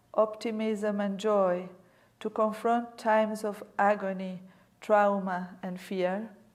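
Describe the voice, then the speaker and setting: Delivered at a very slow pace in a monotone, flat intonation, the speech carries audible room echo. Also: woman, medium pitch for a woman. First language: not English. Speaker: museum director, guest lecturer. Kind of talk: lecture. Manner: reading aloud from prepared text.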